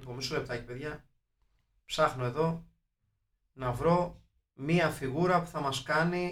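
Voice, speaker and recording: Pausing long and often, a man talks at a fairly slow pace in a fairly high pitch, his intonation fairly even. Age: 40s. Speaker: film podcast host. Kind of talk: casual chat.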